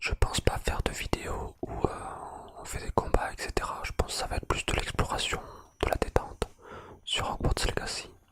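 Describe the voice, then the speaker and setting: Whispering at a moderate pace with long, frequent pauses over noticeable background noise. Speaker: ASMR content creator. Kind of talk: ASMR gameplay exploration, relaxed casual talk to camera. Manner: soft, relaxed, friendly.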